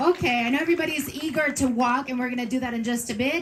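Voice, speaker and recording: A woman with a Spanish accent and a high pitch. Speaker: event emcee. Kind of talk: event announcing. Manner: animated.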